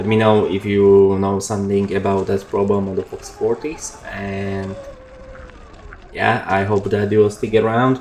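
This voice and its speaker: A man at a fairly low pitch and fairly slow pace, with noticeable background noise. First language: not English. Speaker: motorbike YouTuber. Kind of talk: voiceover commentary. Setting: at home. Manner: halting.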